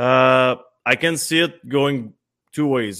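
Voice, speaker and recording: On a very clean recording with a silent background, a man with a Quebec accent speaks at a medium pitch with ordinary pitch variation. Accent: Québécois French. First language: French. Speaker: former hockey player. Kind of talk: casual sports talk.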